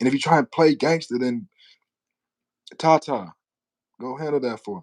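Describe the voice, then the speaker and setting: A man's fairly high voice with lively intonation, an animated tone and big swings in loudness, in a dry, close sound with no echo. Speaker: rapper. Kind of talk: livestream rant. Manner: fast.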